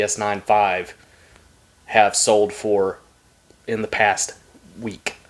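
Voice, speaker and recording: Speaking in a Southern US accent, a man talks at a very slow pace. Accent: southern twang. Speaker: trading card YouTuber. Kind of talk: casual box-break commentary. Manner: casual, halting with fillers.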